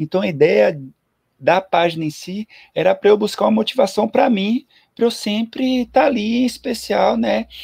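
A very clean recording of a man, with a silent background. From Bahia, Brazil (Ilhéus). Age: 30s. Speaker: amateur runner and meme creator. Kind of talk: casual chat. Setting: YouTube live stream.

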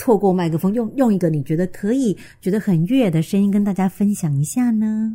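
A woman speaks at a fairly quick pace with hardly any pauses, her tone dark and mellow and somewhat breathy. Her pitch varies in an ordinary way, and the recording is very clean with a silent background. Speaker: sex and relationships podcast host, author. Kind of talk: casual chat.

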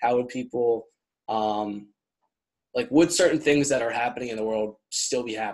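A man at medium pitch, with ordinary pitch variation, a moderate pace and long, frequent pauses. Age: 20s. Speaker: podcast host. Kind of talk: casual interview chat. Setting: video call.

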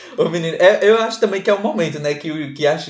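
A man speaks with a Pernambuco accent. Noticeable background noise runs behind him. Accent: Pernambuco northeastern Brazilian. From Pernambuco backlands, Salgueiro. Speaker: podcast co-host. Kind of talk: casual chat.

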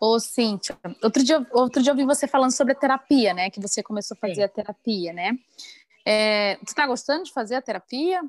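Captured dry and close with no echo in a very clean recording over a silent background, a woman speaks at a fairly quick pace in a high pitch with lively intonation. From Maranhão, Brazil. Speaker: podcast host. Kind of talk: casual interview chat.

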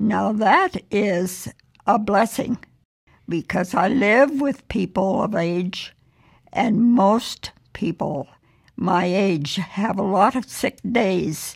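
A woman speaks at a very slow pace, somewhat breathy. Her pitch is medium, with ordinary variation. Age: 90s. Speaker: podcast guest, host's mother. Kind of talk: casual chat.

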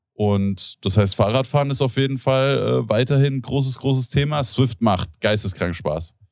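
Talking at a moderate pace with hardly any pauses, a man has an ordinary speaking voice of medium pitch and ordinary pitch variation. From Germany, Hesse (Rodgau). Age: 30s. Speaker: podcast host. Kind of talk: casual chat.

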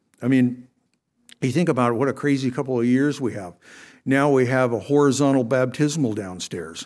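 A man's voice sits at a medium pitch, moving at a moderate pace and varying in pitch in an ordinary way. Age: 60s. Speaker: lay preacher filling in for pastor. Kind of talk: sermon. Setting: church. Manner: halting.

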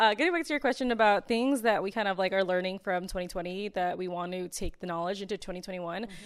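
A woman with an American accent talks at a fairly quick pace, with ordinary pitch variation. She has a plain, everyday voice. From US, mixed-race family. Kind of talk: casual family chat.

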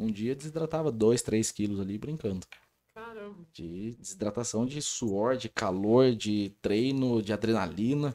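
Dark, mellow male speech, fairly slow, with ordinary pitch variation. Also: medium pitch for a man. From Brazil, Rio Claro (São Paulo state). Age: 30s. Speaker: sports official, wheelchair athlete. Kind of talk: casual interview. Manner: animated.

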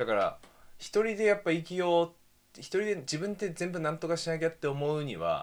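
A man speaks in a voice that is high-pitched for a man, with ordinary pitch variation. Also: fairly quick pace. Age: 20s. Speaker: podcast co-host. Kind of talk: casual chat.

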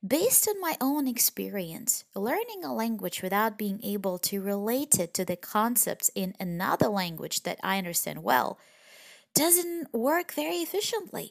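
In a Russian accent, a woman speaks at a fairly slow pace and fairly high pitch with very wide pitch swings, the sound dry and close with no echo. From Russian Far East, near Vladivostok. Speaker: language teacher podcaster. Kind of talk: language lesson.

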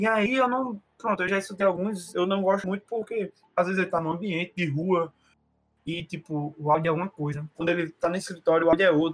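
Delivered at a fairly quick pace, the voice has a dry, close sound with no echo. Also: man, high pitch for a man, ordinary pitch variation. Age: 20s. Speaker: podcast co-host. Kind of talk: casual chat.

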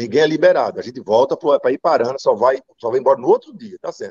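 Recorded with a dry, close sound and no echo, this man rattles along at a very fast pace. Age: 50s. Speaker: former football player. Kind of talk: interview.

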